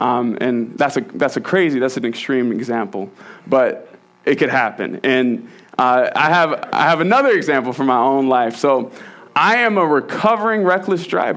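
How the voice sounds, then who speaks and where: Very even in loudness, the voice carries an American accent and swings very widely in pitch. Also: man, medium pitch for a man, moderate pace. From Virginia. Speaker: church elder and lay preacher. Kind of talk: sermon. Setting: church. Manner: halting, repeats words.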